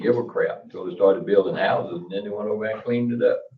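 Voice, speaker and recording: Loud and fairly quick, a man speaks in a North Carolina accent. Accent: Southern US (North Carolina). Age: old. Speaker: local resident speaking at public comment. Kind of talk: public comment at town meeting.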